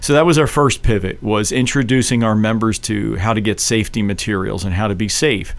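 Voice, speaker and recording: A man with an American accent and a fairly low pitch, talking at a fairly quick pace with hardly any pauses over noticeable background noise. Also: ordinary pitch variation. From Philadelphia, South Philly. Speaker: political candidate. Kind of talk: radio interview. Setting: radio studio.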